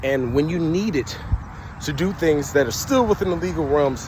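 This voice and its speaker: A man speaks loudly at a moderate pace, his tone animated and his pitch swinging very widely. Noticeable background noise runs under his voice. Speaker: vlogger. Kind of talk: casual monologue. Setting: outdoors by a main road.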